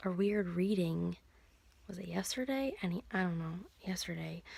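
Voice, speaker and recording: A woman speaks quietly at a moderate pace. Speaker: video blogger. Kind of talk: personal video diary. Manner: quiet, hushed.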